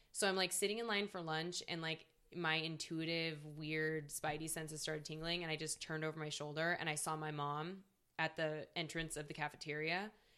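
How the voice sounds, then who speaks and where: With an American accent, a woman speaks fairly quickly in a very deep, low voice and flat, monotone intonation. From Seattle, US Pacific Northwest. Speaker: comedian. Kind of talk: casual chat.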